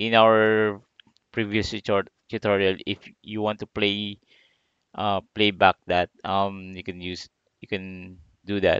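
Over a quiet background, a man with a fairly low pitch talks at a very slow pace in a monotone, flat intonation, the sound dry with no echo. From Philippines. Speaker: digital marketing instructor. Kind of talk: tutorial. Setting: live stream screen share. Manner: halting, many fillers.

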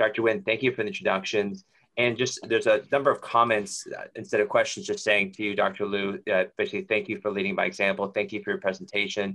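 A man speaks at a very fast pace against a quiet background. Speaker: grand rounds moderator. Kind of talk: meeting moderation. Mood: warm, grateful. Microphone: video call.

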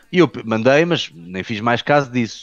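A man with a European Portuguese accent and medium pitch, dry, close sound with no echo, and a quiet background. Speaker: personal trainer and film actor. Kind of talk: casual chat.

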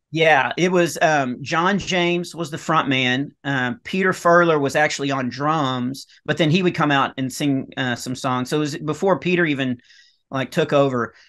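Speaking with a Texan accent, a man uses a fairly high pitch, a bright, sharp tone and ordinary pitch variation. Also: moderate pace, quiet background. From Texas, rural north Texas near Dallas/Fort Worth. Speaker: comedian. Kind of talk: casual chat. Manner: halting, many fillers. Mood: relaxed storytelling. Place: home room. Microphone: webcam.

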